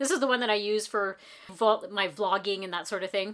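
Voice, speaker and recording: Her intonation is lively as this woman talks at a fairly quick pace. Her pitch is fairly high and her tone bright and sharp. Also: very clean recording, silent background. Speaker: makeup tutorial creator. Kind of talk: casual talk to camera.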